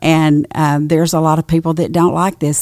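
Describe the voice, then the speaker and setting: In a dry, close sound with no echo, a woman with an East Texas accent speaks at a moderate pace in a monotone, flat intonation, her very deep, low pitch paired with a dark, mellow tone. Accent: East Texas Southern. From East Texas (Nacogdoches). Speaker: pastor's wife. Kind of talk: casual chat.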